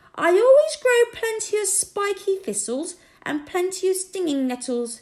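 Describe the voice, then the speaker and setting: A put-on character voice, female-sounding, squeaky and extremely high-pitched, with very wide pitch swings at a moderate pace. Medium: read story. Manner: shrill, spiteful.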